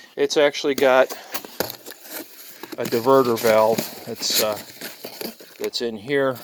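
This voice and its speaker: Fairly slow delivery by a man at medium pitch, with fairly even intonation, long and frequent pauses, and noticeable background noise. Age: 60s. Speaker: hobby farmer. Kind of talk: tutorial. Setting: barn. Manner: casual, halting with fillers.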